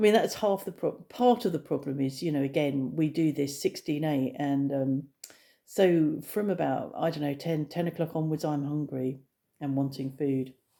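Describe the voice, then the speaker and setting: A woman with an English accent speaks at a moderate pace in a very deep, low voice with a dark, mellow tone and ordinary pitch variation, captured in a very clean recording with a silent background. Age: 60s. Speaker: vlogger. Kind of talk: casual vlog monologue. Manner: hesitant, many fillers.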